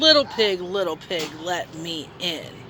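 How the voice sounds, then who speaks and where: A growling, put-on character voice moves at a fairly slow pace over clear background noise. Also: woman. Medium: read story.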